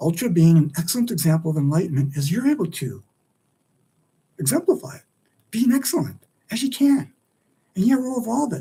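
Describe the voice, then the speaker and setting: A man with a high pitch and a dark, mellow tone speaks at a fairly quick pace. His pitch swings very widely, and he leaves long, frequent pauses. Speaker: livestream host and author. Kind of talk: solo livestream monologue. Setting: live stream. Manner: fast; animated.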